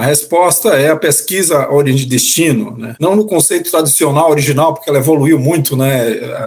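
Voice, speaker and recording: A man's speech comes at a moderate pace and barely pauses, with noticeable background noise behind it. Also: fairly high pitch for a man, ordinary pitch variation. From Bahia, Brazil (interior, Campo Formoso). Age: 50s. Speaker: transport company executive. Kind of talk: interview.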